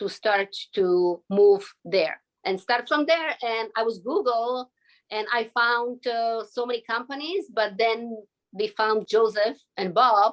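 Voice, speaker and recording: With a Slovak accent, a woman talks at a very slow pace in a fairly high pitch, her pitch varying in an ordinary way. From Slovakia. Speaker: visa applicant. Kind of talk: interview.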